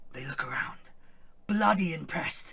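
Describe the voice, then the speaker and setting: A man whispers in a raspy, put-on character voice at a moderate pace. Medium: comedy sketch. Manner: hesitant, rambling.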